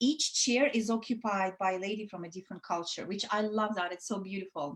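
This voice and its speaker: A woman with a Russian accent, at a moderate pace. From Soviet Union (Russia). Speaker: women's network founder. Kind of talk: casual interview chat. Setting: online live show. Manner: hesitant, many fillers.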